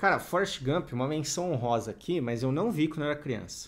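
Here a man speaks with lively intonation. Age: 30s. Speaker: youtuber; podcast co-host. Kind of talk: casual chat. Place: home room. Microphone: studio mic.

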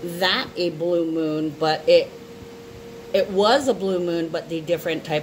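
The voice moves at a fairly slow pace with ordinary pitch variation amid noticeable background noise. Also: woman. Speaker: astrology reader. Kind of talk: casual vlog chat. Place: home room. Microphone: phone near.

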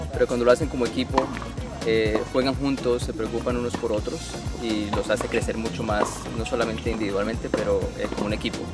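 Loud music plays behind a man speaking at a fairly quick pace, the sound dry with no echo. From Colombia. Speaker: tennis parent and recreational player. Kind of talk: interview answer. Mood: friendly, relaxed. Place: stadium.

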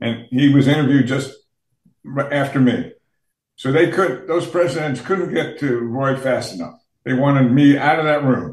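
A man talks at a moderate pace, somewhat breathy, with ordinary pitch variation. Audible room echo surrounds him, though the background is quiet. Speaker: remote podcast guest. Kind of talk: interview answer, storytelling. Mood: amused, recounting. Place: home room. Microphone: video call.

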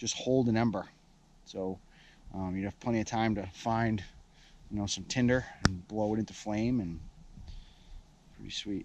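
Moderate pace with long, frequent pauses and fairly even intonation, in a dry sound with no echo over light background noise. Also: man, fairly low pitch for a man. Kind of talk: casual outdoor tutorial. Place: forest. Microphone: phone near.

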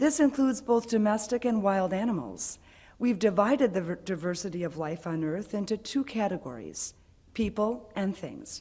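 The voice moves at a moderate pace with lively intonation and a dark, mellow tone. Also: woman. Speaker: worship leader; speaker. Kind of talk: reading aloud. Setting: church. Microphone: podium.

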